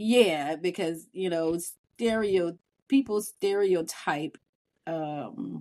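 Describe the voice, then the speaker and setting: A woman with a Southern Louisiana accent speaks at a very slow pace with lively intonation. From US South, Louisiana (New Orleans). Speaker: podcast co-host, mother. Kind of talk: casual chat.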